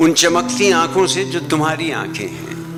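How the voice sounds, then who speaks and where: Music plays behind the voice. A man talks with lively intonation. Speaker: poetry reciter. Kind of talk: poetry reading. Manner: expressive, emotional.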